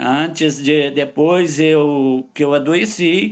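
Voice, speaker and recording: A man speaks with a fairly high pitch. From Brazil, Goiás (Catalão). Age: 70s. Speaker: retired lawyer, patient. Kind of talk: interview testimony.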